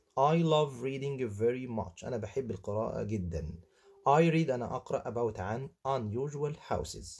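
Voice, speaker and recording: A man speaks with an Egyptian accent at a moderate pace, his medium-pitched voice somewhat breathy. His intonation is lively, and the background is quiet. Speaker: English teacher. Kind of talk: tutorial, textbook walkthrough.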